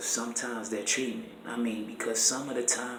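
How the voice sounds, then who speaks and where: Recorded with noticeable background noise and audible room echo, a man talks at a medium pitch. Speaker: musician in a psychiatric ward. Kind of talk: casual vlog monologue. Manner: fast; animated.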